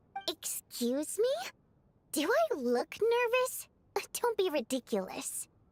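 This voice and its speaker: A woman uses a put-on character voice at an extremely high pitch, with very wide pitch swings. She speaks at a fairly slow pace, leaving long, frequent pauses. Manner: defensive, indignant.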